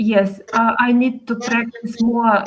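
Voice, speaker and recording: A woman speaks with a Ukrainian accent at a very slow pace. Her intonation stays fairly even. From Ukraine. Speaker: language course student. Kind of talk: casual chat. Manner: halting, many fillers.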